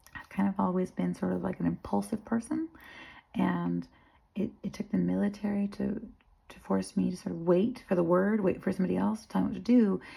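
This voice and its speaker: Her volume swings widely as a woman speaks at a fairly quick pace with an American accent. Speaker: army veteran and filmmaker. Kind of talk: personal vlog monologue. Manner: halting, self-interrupting.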